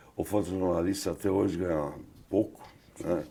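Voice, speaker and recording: The voice has a dark, mellow tone and monotone, flat intonation, moving at a moderate pace. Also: man. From Brazil, São Paulo. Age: 70s. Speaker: photographer. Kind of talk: interview.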